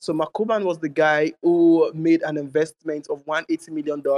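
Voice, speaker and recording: Here a man talks at a moderate pace with a fairly high pitch. His intonation is monotone and flat, and the sound is dry and close with no echo. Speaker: project representative. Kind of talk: project pitch.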